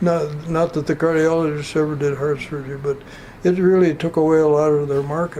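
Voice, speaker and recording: Speaking at a fairly quick pace with an Upper Midwest accent, a man has a fairly high pitch, a dark, mellow tone and monotone, flat intonation. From North Dakota. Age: 80s+. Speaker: retiree. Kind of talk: oral history interview. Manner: halting.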